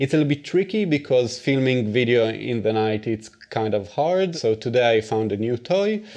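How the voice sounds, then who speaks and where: Against a quiet background, a man speaks at a moderate pace and medium pitch with lively intonation and hardly any pauses. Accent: Israeli. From Israel. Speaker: video blogger. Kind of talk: casual Q&A vlog.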